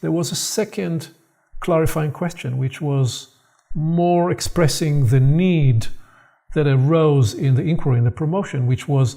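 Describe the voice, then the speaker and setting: A man speaks at a fairly slow pace in a fairly high pitch, with a dark, mellow, somewhat breathy tone and ordinary pitch variation, on a very clean recording with a silent background. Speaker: spiritual teacher in conversation. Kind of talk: reflective dialogue. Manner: soft-spoken, quieter.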